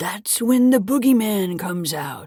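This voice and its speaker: Fairly slow delivery in a put-on character voice. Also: woman. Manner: creepy, spooky.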